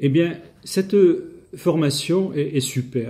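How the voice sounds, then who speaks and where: A dark, mellow, somewhat breathy tone at a very slow pace, with ordinary pitch variation. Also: man. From southern France. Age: 60s. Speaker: language learner. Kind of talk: testimony. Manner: halting, hesitant.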